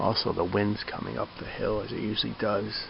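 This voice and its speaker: A quiet man over noticeable background noise. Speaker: hiker vlogger. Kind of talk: outdoor vlog. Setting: outdoors at campsite. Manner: casual, conversational; quiet, hushed.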